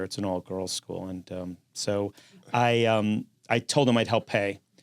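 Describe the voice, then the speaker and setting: Recorded dry and close with no echo, a man with a New York accent talks at a moderate pace with ordinary pitch variation. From New York City, Manhattan. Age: 60s. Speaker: construction company founder. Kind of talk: interview.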